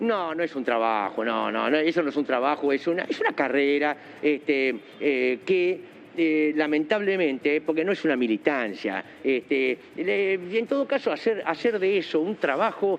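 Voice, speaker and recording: At a moderate pace, a man with a fairly high voice speaks with lively intonation over noticeable background noise. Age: 70s. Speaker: politician and lawyer. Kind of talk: TV interview.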